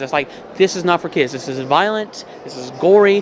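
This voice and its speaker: The speaker talks at a moderate pace. Background noise is noticeable throughout. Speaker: artist. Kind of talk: casual chat. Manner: slurred.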